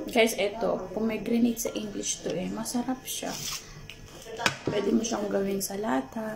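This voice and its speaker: Over music in the background, a woman speaks at a moderate pace. Her fairly high voice shows ordinary pitch variation. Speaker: vlogger. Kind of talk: casual vlog. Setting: indoors at someone else's house. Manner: soft-spoken, not loud.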